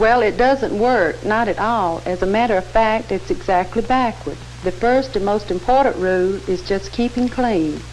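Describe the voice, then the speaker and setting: A woman's voice at a moderate pace, with hardly any pauses, very even loudness and noticeable background noise. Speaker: cosmetician. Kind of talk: scripted dialogue in an instructional film.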